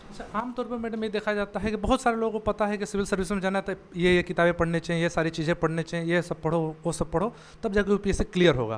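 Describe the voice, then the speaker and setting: His voice is high-pitched for a man, with ordinary pitch variation. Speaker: news reporter. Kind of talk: interview questions.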